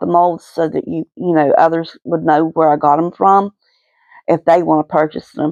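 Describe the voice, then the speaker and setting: A woman with an Appalachian accent, fairly low in pitch, in a dry, close recording with no echo and a quiet background. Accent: Appalachian (West Virginia). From West Virginia, Kanawha County (Cabin Creek). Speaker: resin art hobbyist vlogger. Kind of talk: casual voiceover for craft video. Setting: home, voice recorded after filming. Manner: hesitant, many fillers.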